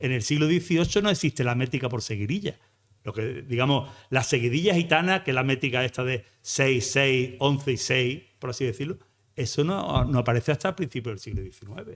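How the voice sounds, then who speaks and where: A man's plain, everyday voice at a moderate pace, lively intonation, quiet background. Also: medium pitch for a man. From Andalusia, Algeciras area; Andalusia, Spain. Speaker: flamenco researcher and math teacher; math teacher. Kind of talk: lecture. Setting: stage with audience. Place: hall. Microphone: podium.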